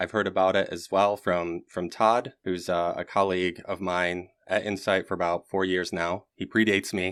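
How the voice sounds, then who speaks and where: A man talks with an American accent at a very deep, low pitch. His intonation stays fairly even. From Michigan, US. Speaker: podcast host, agile coach. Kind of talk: podcast interview.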